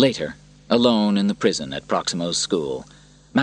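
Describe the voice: The passage is read aloud plainly. That is the whole of it.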